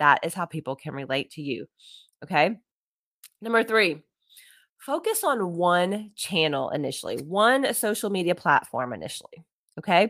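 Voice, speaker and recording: A woman with a fairly low pitch speaks at a moderate pace in an animated tone, with very wide pitch swings and big swings in loudness. Her long, frequent pauses come through in a dry, close sound with no echo. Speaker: podcast host, social media coach. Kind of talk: solo podcast tutorial.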